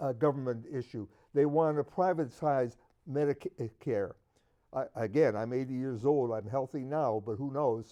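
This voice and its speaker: A man with an American accent, medium in pitch and dark and mellow in tone, at a moderate pace with ordinary pitch variation. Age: 80s+. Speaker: political talk show panelist. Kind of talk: heated debate.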